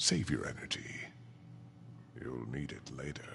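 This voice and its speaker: Over clear background noise, a man does a put-on character voice with a very deep, low pitch. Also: moderate pace. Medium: video game. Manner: cold, condescending.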